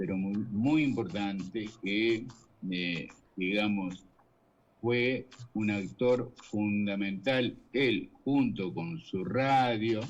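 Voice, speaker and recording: A man with a fairly low voice and ordinary pitch variation talks very slowly. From Uruguay, Rocha (east). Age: 60s. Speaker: journalist. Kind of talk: interview.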